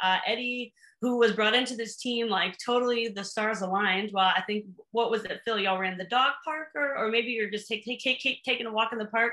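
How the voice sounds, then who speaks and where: Against a quiet background, a woman with an American accent speaks at a moderate pace in a bright, sharp tone. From US Pacific Northwest, Seattle. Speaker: mountaineer. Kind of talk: casual interview. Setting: video call. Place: home room. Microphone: video call.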